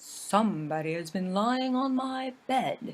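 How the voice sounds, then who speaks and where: Using a put-on character voice, a female-sounding speaker talks at a high pitch. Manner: growling.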